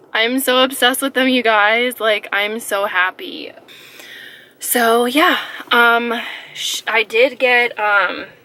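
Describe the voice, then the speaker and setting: Over noticeable background noise, a woman speaks at a high pitch and a very slow pace, with long, frequent pauses and fairly even intonation. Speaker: beauty vlogger. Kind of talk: casual vlog talk. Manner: hesitant, many fillers.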